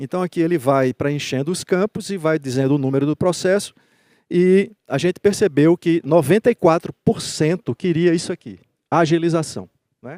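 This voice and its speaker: Recorded very cleanly with a silent background and a dry, close sound with no echo, a man with a dark, mellow tone and high pitch talks at a moderate pace with ordinary pitch variation. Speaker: judge and conference speaker. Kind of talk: conference talk.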